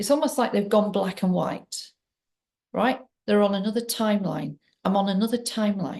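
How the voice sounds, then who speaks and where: At a moderate pace, a woman talks in a medium-pitched voice with vocal fry and ordinary pitch variation. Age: 60s. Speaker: trauma healing coach and abuse survivor. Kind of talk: personal testimony to camera. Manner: halting, with many fillers.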